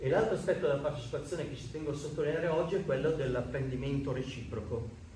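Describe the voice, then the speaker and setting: Speaking at a very fast pace with hardly any pauses, a man with a fairly high pitch shows ordinary pitch variation amid light background noise and audible room echo. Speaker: association representative presenting the project; speaker. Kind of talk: conference talk. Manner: loud, speaking without microphone. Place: meeting room. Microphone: no microphone; camera far.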